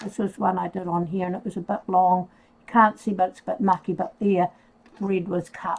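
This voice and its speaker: Somewhat breathy and monotone, with flat intonation, a woman speaks at a medium pitch and a moderate pace. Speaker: leatherworker. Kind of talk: tutorial. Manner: casual, hesitant with fillers.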